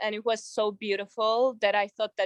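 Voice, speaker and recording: In a dry, close sound with no echo, a woman speaks at a medium pitch with a monotone, flat intonation. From Georgia. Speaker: artist. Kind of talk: interview. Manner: halting, many fillers.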